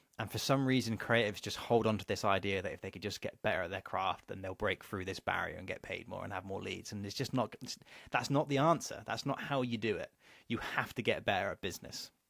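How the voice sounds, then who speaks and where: A man with an English accent speaks very fast. His pitch is medium and varies in an ordinary way. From England. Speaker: business coach. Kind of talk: online course lecture. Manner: casual.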